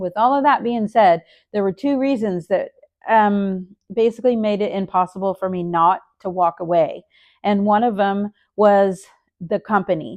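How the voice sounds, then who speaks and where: A woman has a normal speaking voice with a medium pitch and ordinary pitch variation, talking at a moderate pace in a dry, close recording with no echo and a quiet background. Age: 60s. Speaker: nurse and vlogger. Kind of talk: casual vlog update.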